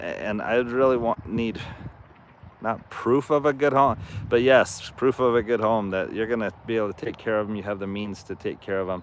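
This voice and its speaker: At a moderate pace and medium pitch, a man talks with fairly even intonation in an ordinary speaking voice. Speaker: horse farm owner and channel host. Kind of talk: live stream chat.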